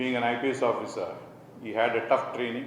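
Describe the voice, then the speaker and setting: A man at a medium pitch and a moderate pace, with audible room echo and noticeable background noise. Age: 60s. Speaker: college administrator. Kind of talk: motivational speech.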